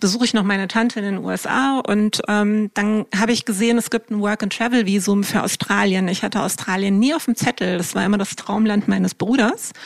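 Recorded with a dry, close sound and no echo but with noticeable background noise, a woman talks fairly quickly at a fairly high pitch in a monotone, flat intonation. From Germany, Wiesbaden. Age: 50s. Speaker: startup co-founder. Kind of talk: interview.

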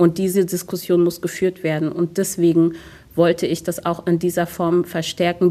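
A woman speaks with a fairly low pitch. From Germany, Hunsrück (Rhineland-Palatinate). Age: 30s. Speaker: city politician and theatre diversity officer. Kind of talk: radio interview. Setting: city hall interview.

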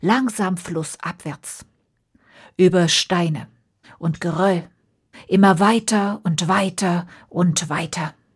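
A woman's slow delivery with a slightly husky edge, in a very clean recording over a silent background

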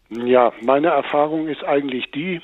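Against noticeable background noise, this man talks with ordinary pitch variation. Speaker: blind caller. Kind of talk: phone-in call. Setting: phone call.

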